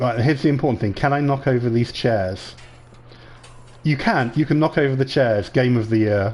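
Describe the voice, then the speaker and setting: Moderate pace, an English accent, ordinary pitch variation and very even loudness. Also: man, medium pitch for a man. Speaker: gaming video creator. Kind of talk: let's play commentary. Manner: casual, animated.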